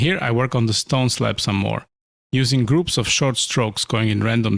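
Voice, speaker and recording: A man's medium-pitched voice with vocal fry, at a moderate pace. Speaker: illustrator. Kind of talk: narrated art time-lapse commentary. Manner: relaxed, explanatory.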